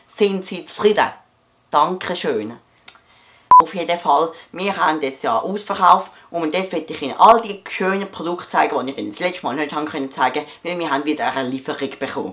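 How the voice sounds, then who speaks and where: A playful, high-pitched male voice at a fairly quick pace. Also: ordinary pitch variation. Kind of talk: comedic parody of a TV shopping ad. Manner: hesitant, playful.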